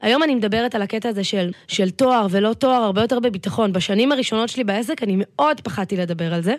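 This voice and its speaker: A woman talks at a very fast pace with hardly any pauses, her fairly high pitch showing ordinary variation. The recording is very clean, with a silent background. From Israel, north Tel Aviv. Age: 30s. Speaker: business coach. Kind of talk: podcast interview.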